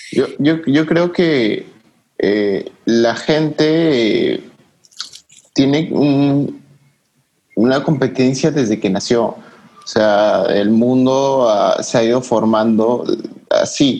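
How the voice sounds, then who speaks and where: Here a man talks at a very slow pace. His medium pitch shows ordinary variation. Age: 20s. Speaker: graphic design student and photographer. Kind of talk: casual chat.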